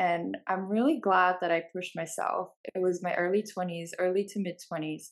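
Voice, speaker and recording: A woman at medium pitch, moderate pace, fairly even intonation and hardly any pauses. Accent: New Jersey. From Bulgaria, moved to New Jersey as a child. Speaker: company co-founder. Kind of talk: casual interview.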